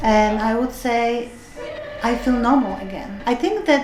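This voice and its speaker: Noticeable background noise and audible room echo surround a voice moving at a fairly slow pace. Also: woman. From Europe. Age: 60s. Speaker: retired chemist, choir member. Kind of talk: documentary interview. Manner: hesitant, many fillers.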